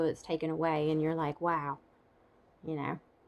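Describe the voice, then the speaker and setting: Speaking at a fairly quick pace, a woman has a fairly low pitch. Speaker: stroke survivor vlogger. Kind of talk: casual vlog update. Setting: home. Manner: halting.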